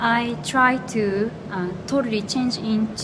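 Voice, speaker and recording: In a Japanese accent, a woman talks very slowly at a medium pitch, with noticeable background noise and audible room echo. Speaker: astrologer. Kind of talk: casual chat. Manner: halting.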